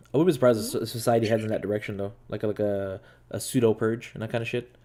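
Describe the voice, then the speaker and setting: Talking at a very fast pace, a man with a Quebec accent has a medium pitch, a dark, mellow tone and fairly even intonation. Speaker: podcast host. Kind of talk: casual chat. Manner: halting, many fillers and restarts.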